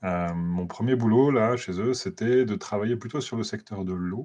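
The man's voice has a dark, mellow tone. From France. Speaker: NGO lobbying watchdog researcher. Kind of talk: interview. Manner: hesitant, many fillers.

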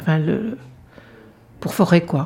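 A woman speaking at a very slow pace, with ordinary pitch variation and noticeable background noise. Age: 60s. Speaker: retired general practitioner. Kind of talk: testimony.

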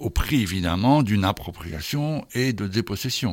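In a very clean recording with a silent background, a man is heard. His pace is moderate and his pitch variation ordinary. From Brussels, Belgium. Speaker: geography professor. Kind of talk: interview. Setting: studio. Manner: halting.

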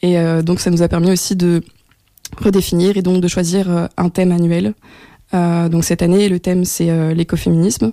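A woman with a fairly low pitch and a dark, mellow tone speaks at a moderate pace with fairly even intonation and long, frequent pauses. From France. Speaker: communications and project coordinator at a feminist organisation. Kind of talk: radio interview.

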